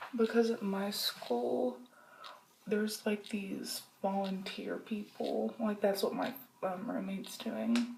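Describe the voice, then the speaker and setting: Noticeable background noise accompanies a woman who talks very slowly. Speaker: vlogger. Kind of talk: casual vlog. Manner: casual, rambling with fillers.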